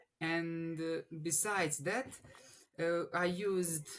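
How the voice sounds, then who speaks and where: The tone is bright and sharp. The speaker has a Bosnian accent. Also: man. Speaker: engineering student. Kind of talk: interview. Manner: halting, many restarts.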